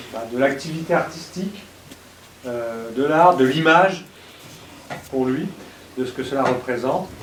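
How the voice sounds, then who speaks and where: A fairly high-pitched man speaks with ordinary pitch variation and long, frequent pauses. The recording carries noticeable background noise and audible room echo. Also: fairly slow pace. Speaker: professor and event host. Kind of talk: lecture introduction. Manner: slow.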